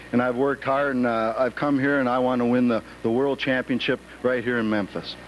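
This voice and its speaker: A man with an American accent speaks at a fairly quick pace and medium pitch, his loudness very even. His intonation is monotone and flat, with noticeable background noise. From US, small town. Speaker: professional wrestler. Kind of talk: interview.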